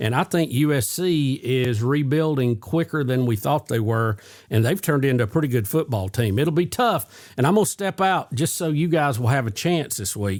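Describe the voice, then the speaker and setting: In a very clean recording with a silent background, a man with an unremarkable speaking voice talks at a moderate pace and medium pitch, his intonation lively and hardly any pauses. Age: 60s. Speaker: sports show host. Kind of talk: casual sports chat.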